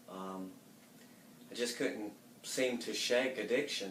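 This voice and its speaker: A man with a Southern US accent speaks very slowly at a medium pitch, his intonation fairly even. There is audible room echo. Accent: Southern US (Georgia). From US South, Marietta, Georgia. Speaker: church member giving testimony. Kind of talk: testimony.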